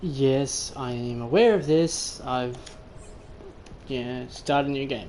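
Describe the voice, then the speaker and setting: The speech comes very slowly, broken by long, frequent pauses. Noticeable background noise runs underneath. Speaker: gaming streamer. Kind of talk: gameplay commentary. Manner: soft-spoken.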